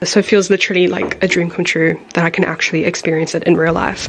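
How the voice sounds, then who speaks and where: Over music in the background, a soft-spoken woman talks at a very fast pace. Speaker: travel vlogger. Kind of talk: vlog narration. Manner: animated.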